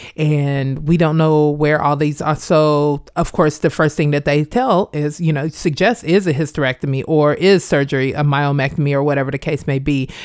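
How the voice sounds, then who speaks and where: A woman with an American accent, very deep and low in pitch, fairly even intonation and hardly any pauses. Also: moderate pace. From Kansas, Wichita. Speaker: performance artist and educator, Air Force veteran. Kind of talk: interview testimony.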